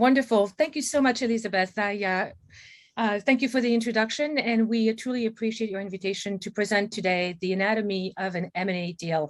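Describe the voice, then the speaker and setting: A woman talks at a fairly quick pace with a French accent. Her pitch varies in an ordinary way. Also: fairly high pitch for a woman. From France, Paris. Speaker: M&A advisor, company CEO. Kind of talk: webinar presentation. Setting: video call.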